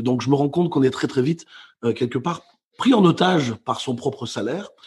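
An ordinary speaking voice, a man at medium pitch and a fairly quick pace. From Belgium, Brussels. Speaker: motivational speaker and author. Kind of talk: interview.

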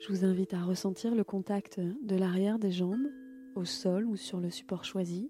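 With music in the background, a woman speaks in a calm, soothing tone at a medium pitch with ordinary pitch variation. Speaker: yoga nidra teacher. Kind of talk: guided meditation. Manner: slow, calm, soothing, unhurried; gentle, measured, with long pauses.

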